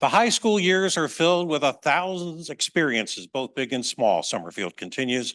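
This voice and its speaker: Very wide pitch swings at a moderate pace with hardly any pauses, against a quiet background, in a dry, close sound with no echo. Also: man, fairly high pitch for a man. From US, Maryland Eastern Shore. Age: 70s. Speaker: author. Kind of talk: reading aloud; talk. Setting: museum event with audience.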